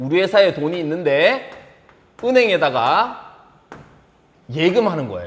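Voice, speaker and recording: A man's high-pitched voice with very wide pitch swings, over noticeable background noise. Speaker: high school accounting teacher. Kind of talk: lecture. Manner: fast.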